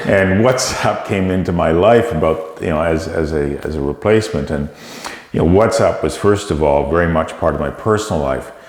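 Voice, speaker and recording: A man with a Canadian accent, very deep and low in pitch, with ordinary pitch variation, a moderate pace, audible room echo and noticeable background noise. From Canada. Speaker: tech company CEO. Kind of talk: interview.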